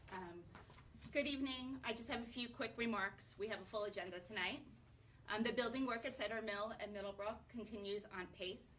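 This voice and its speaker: With ordinary pitch variation, the speech runs at a fairly quick pace. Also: woman, fairly high pitch for a woman. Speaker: school board chair. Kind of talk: public meeting chairing. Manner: loud. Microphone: poor broadcast sound quality.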